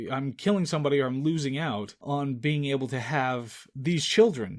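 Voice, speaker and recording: This man has an ordinary speaking voice at a medium pitch. His pitch varies in an ordinary way. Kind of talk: movie review commentary podcast, casual talk to camera.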